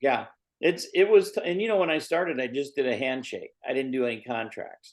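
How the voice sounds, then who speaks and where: With a normal speaking voice, a man talks at a fairly quick pace and a fairly high pitch, using lively intonation and an American accent. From Indiana, US Midwest. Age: 60s. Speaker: MMA manager and promoter. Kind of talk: podcast interview.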